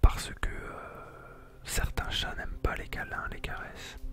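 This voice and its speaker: Over music in the background, a man whispers at a very slow pace. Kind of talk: casual ASMR talk presenting pets. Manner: whispered.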